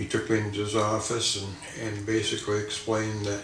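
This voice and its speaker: A man speaks at a moderate pace in a fairly low pitch, with audible echo from the room. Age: 60s. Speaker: cancer patient. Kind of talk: testimony. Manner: halting, many fillers.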